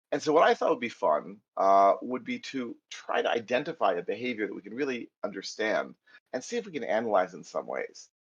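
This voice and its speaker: The loudness swings widely as the voice moves along at a fairly quick pace. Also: man. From US, New York area. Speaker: Python trainer. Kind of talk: technical lecture.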